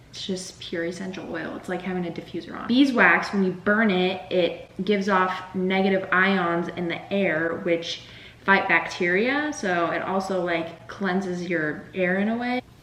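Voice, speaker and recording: Over noticeable background noise and audible room echo, a woman speaks at a moderate pace in a medium pitch with fairly even intonation. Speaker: cooking vlogger. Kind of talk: casual cooking vlog. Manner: chatty.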